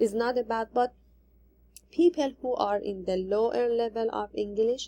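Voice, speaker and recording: This woman speaks at a moderate pace with a non-native accent. Her voice has a fairly high pitch and a dark, mellow tone. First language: not English. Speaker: ESL teacher in training. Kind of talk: recorded assignment presentation. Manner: halting.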